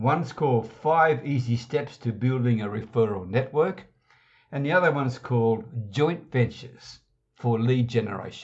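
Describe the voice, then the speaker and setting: This man talks at a moderate pace in a medium pitch, somewhat breathy, with ordinary pitch variation. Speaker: internet marketing podcast host. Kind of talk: scripted training talk.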